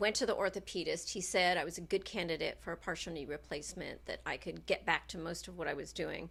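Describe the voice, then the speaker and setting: A woman at a very fast pace with hardly any pauses. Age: 60s. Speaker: dancer. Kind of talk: casual chat.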